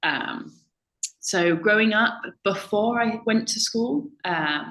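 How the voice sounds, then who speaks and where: A woman's medium-pitched voice with a British accent. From UK. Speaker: language teaching assistant. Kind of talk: interview about language background.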